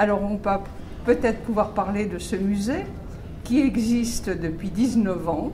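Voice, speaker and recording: Amid noticeable background noise and audible room echo, a woman speaks at a medium pitch with ordinary variation, her pace fairly slow and marked by long, frequent pauses. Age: 80s+. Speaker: museum director. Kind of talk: interview. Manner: hesitant, with fillers.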